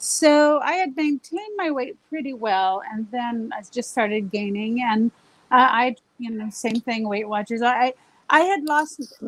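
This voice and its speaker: In an American accent, a woman speaks at a fairly slow pace. Her high voice has lively intonation. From Southern California. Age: 60s. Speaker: diet client sharing success story. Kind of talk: interview.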